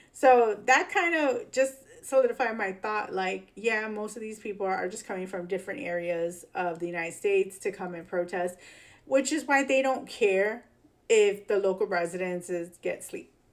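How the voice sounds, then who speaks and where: With a Chicago accent, a woman talks at a moderate pace in a medium pitch, her intonation lively and her loudness swinging widely. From Chicago, US Midwest. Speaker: political commentary YouTuber. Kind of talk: casual commentary on news clips. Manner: casual, filler-heavy.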